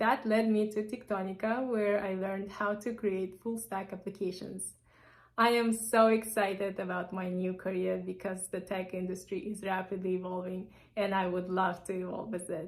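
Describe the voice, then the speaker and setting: The delivery moves at a moderate pace in a monotone, flat intonation. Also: woman, medium pitch for a woman. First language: Russian or Kazakh. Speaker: bootcamp graduate, former project engineer. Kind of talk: project presentation.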